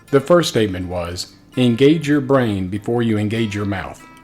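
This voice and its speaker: Over music in the background, a man talks at a moderate pace in a fairly low pitch with lively intonation. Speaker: person living with spinal muscular atrophy. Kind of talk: vlog talk to camera.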